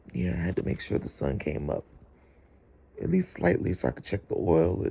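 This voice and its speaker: Vocal fry marks a man's very deep, low voice with a dark, mellow tone. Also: long, frequent pauses. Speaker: vlogger. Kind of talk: casual vlog monologue.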